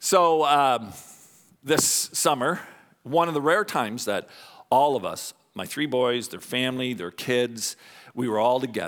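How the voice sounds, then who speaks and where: With long, frequent pauses, a man speaks in a Canadian accent at a medium pitch with ordinary pitch variation on a very clean recording with a silent background. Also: fairly slow pace. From Canada. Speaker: pastor. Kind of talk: sermon. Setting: church.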